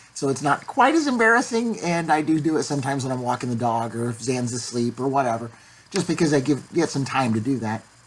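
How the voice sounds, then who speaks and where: A woman's very deep, low voice at a very fast pace. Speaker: vlogger sharing voice surgery update. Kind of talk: casual vlog update.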